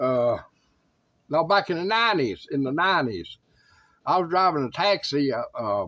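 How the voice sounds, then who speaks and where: With a Tennessee accent, a man talks at a moderate pace in a high, bright and sharp voice, his pitch swinging very widely between long, frequent pauses. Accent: Southern US (Tennessee). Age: 60s. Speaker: YouTuber sharing life updates. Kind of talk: casual talk to camera. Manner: halting, with many fillers.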